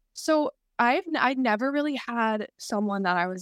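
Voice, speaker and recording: On a very clean recording with a silent background, a woman speaks with an American accent and lively intonation. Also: dry, close sound with no echo. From US South, North Carolina. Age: 20s. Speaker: former model, podcast guest. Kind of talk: casual interview.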